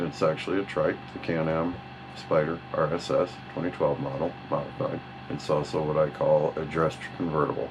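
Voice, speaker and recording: With music playing in the background, a man talks in a very deep, low pitch. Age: 50s. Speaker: motorcycle vlogger. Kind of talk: self-introduction interview monologue. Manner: halting, with many fillers.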